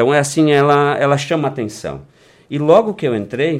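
A man's fairly high voice with vocal fry, at a fairly quick pace. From Rio Grande do Sul, Brazil (Vale do Taquari). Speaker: small-town mayor. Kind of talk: radio interview. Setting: radio studio.

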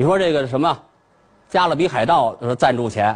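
A man is speaking. His pitch is fairly high. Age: 40s. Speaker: comedian. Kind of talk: stand-up.

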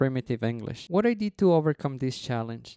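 With a Mexican accent, a man speaks at a fairly high pitch in a dark, mellow tone with lively intonation and a dry, close sound with no echo. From Mexico City. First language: Spanish. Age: 30s. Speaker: podcast host, former cruise ship cook. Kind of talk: personal storytelling.

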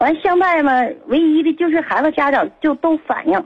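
A woman with an extremely high pitch talks at a moderate pace. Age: 30s. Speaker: caller, runs a Go school. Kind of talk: phone call to radio show. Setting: phone call.

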